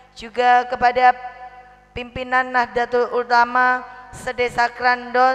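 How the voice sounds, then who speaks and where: A woman talks very slowly in a high, monotone, flat voice. Noticeable background noise is audible. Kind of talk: sermon. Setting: religious gathering with audience.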